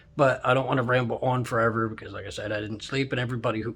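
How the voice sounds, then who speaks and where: A man's medium-pitched, fairly even voice at a very fast pace, with noticeable background noise. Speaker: YouTuber and truck driver. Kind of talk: casual vlog. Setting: hotel room. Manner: rambling.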